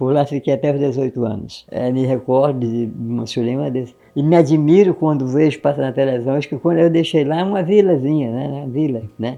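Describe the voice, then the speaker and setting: This man talks at a fairly quick pace with hardly any pauses, using a fairly high pitch, ordinary pitch variation and a dark, mellow tone. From Acre, western Amazon Brazil. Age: 80s+. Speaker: elderly former resident. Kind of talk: oral history interview.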